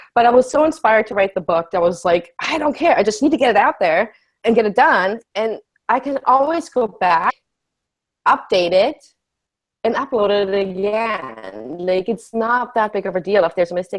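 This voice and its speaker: Speaking with a German accent, a woman uses a fairly high pitch. Her pace is moderate and her intonation lively. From Germany. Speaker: life coach. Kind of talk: casual chat.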